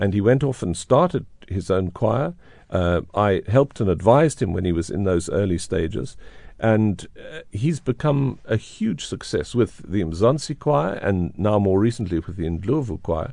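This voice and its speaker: Over a quiet background, the speaker uses lively intonation and a moderate pace with a dark, mellow tone. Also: man, fairly low pitch for a man. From South Africa. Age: 70s. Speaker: conductor and radio presenter. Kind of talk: interview. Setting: radio studio.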